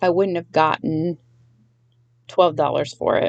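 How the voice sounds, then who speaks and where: A woman's fairly low voice carries noticeable vocal fry. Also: dry, close sound with no echo. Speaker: toy reseller YouTuber. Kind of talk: casual haul video.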